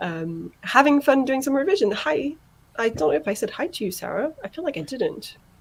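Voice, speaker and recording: Over noticeable background noise, a woman talks in a high voice with very wide pitch swings. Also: fairly quick pace. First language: not English. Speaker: livestream host. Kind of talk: casual chat. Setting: online group live stream. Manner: animated.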